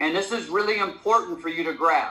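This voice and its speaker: Raised and projected, this man's voice has a bright, sharp tone. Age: 60s. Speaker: network marketing leader. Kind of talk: motivational talk on a conference call. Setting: conference call. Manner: halting, many fillers.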